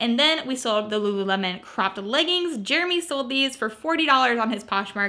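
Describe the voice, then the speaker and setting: A raised, projected voice with lively intonation at a fairly quick pace over a quiet background. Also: woman. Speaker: thrift reseller vlogger. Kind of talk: casual vlog chat. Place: home room. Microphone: phone near.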